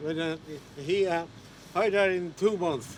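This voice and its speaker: The man's pitch is high, with ordinary pitch variation. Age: 70s. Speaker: retired fisherman and sea captain. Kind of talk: interview. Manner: halting.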